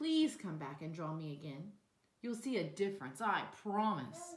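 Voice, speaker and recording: A woman puts on a growling character voice at a medium pitch, with very wide pitch swings. She keeps a moderate pace. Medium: read story.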